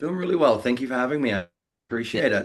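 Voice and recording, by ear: Speaking very fast with lively intonation in an Australian accent, the voice comes through on a very clean recording with a silent background. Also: man.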